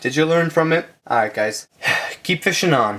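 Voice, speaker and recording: A man mumbles his words. His pace is fairly quick. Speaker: aquarium hobbyist youtuber. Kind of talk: tutorial. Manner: mumbling.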